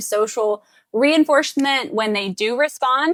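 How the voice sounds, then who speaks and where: Dry and close with no echo, a woman's high-pitched voice sounds bright and sharp, with ordinary pitch variation. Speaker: speech therapist. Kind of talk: tutorial.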